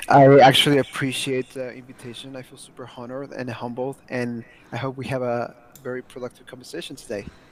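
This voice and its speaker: Speaking very fast in a medium pitch, a man keeps a flat, monotone intonation while his loudness swings widely. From Mexico. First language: Spanish. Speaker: language learner. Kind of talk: interview.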